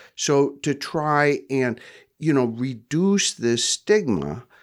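Very slow speech on a very clean recording with a silent background. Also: man. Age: 70s. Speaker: therapist and center founder. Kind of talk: interview. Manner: hesitant, many filler words.

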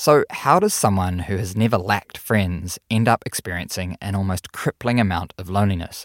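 A man with a fairly low voice and a New Zealand accent speaks at a moderate pace with ordinary pitch variation and hardly any pauses. The very clean recording has a silent background and a dry, close sound with no echo. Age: 40s. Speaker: podcast host. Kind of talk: casual interview and narration.

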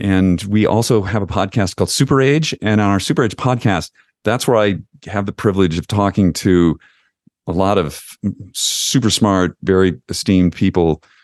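A man with an American accent and an unremarkable speaking voice talks at a moderate pace with a fairly low pitch and ordinary pitch variation. The sound is dry and close with no echo, over a quiet background. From Western New York. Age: 60s. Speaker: founder of an aging-focused company, podcaster. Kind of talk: interview.

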